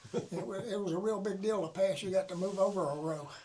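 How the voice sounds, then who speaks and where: Speaking in a Southern US accent, a man with a high pitch talks at a moderate pace. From US South (Florida panhandle). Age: 80s+. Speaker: war veteran. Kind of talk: interview. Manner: halting.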